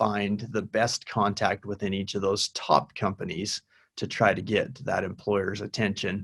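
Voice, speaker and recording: In a dry, close recording with no echo, a man talks at a moderate pace with a fairly low pitch and an ordinary speaking voice. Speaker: university career director. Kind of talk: webinar presentation with Q&A.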